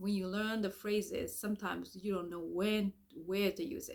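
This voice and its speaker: A woman with a Japanese accent speaks at a moderate pace, her medium pitch showing ordinary variation. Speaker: language teacher. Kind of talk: sales pitch. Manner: halting.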